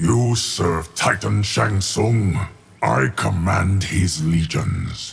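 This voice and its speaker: In a put-on character voice, a man growls at a very slow pace with a very deep, low pitch. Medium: video game. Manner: stern.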